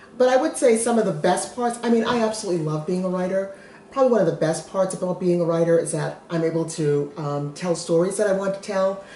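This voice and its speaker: Speech at a very fast pace with hardly any pauses and ordinary pitch variation carries audible room echo and light background noise. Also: woman. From Massachusetts. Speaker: children's book author. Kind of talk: casual chat. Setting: at home, kitchen counter. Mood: warm, friendly. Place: kitchen. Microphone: camera far.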